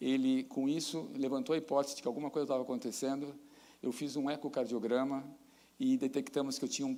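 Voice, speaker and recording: Very fast and monotone, a man talks in a fairly high pitch with flat intonation. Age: 60s. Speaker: professor. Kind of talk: lecture.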